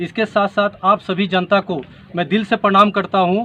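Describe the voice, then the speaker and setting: At a moderate pace, a man talks with a high pitch. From Bihar, West Champaran. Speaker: politician, air force veteran. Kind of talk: interview.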